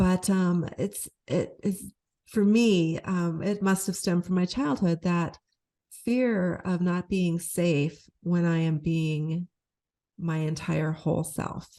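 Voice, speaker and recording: Speaking at a very slow pace, a woman has a fairly low pitch and a dark, mellow tone. Her intonation is fairly even, her loudness very even, and the background is quiet. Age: 60s. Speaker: podcast co-host. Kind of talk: casual chat.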